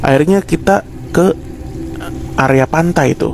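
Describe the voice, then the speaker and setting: Male speech with ordinary pitch variation, music in the background. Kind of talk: horror story narration told casually while cooking. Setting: recorded at home while cooking. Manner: casual, conversational, storytelling.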